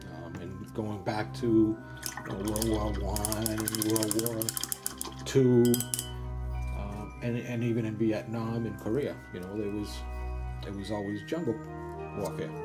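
Clear music plays in the background. The speaker goes at a fairly slow pace with long, frequent pauses. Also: man. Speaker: miniature painter; military veteran. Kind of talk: tutorial narration. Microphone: camera far.

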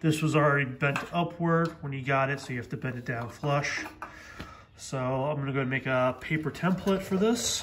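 A man speaks over light background noise. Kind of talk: tutorial. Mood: relaxed, casual. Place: garage. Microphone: phone near.

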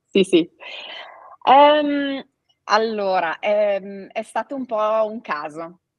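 A woman speaks very slowly at a fairly high pitch, with lively intonation and big swings in loudness. Long, frequent pauses break up her speech against a quiet background. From Italy. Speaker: family owner of cycling apparel company; guest. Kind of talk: interview. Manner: hesitant, with fillers. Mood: friendly, storytelling. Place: home room.

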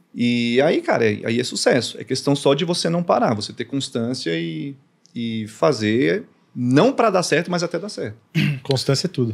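A man talks at a moderate pace, his pitch swinging very widely, with a quiet background. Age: 30s. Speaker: content creator. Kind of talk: casual chat. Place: studio. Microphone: studio mic.

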